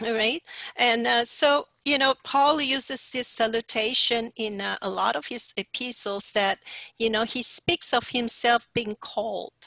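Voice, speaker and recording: A woman with a bright, sharp tone, a fairly high pitch and vocal fry speaks at a very slow pace, the sound dry with no echo and the background quiet. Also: ordinary pitch variation. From Sarawak, Malaysia. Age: 60s. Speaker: pastor; speaker. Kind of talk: sermon. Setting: video call. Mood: warm, encouraging. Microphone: headset.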